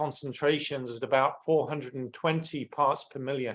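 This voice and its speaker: A man with an English accent speaks at a moderate pace. His voice is fairly high, with fairly even intonation. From England. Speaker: climate science speaker. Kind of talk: webinar presentation.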